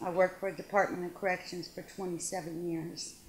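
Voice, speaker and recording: Fairly even intonation in a woman's medium-pitched voice. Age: 60s. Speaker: retired corrections counselor, cancer patient. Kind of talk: testimony. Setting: hospital waiting room. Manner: halting. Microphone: poor audio, too quiet.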